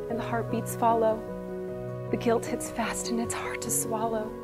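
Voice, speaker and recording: Clear music is heard behind the voice. The speaker is a woman. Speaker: church member. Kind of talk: spoken word poetry. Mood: emotional, near tears, pleading. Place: studio.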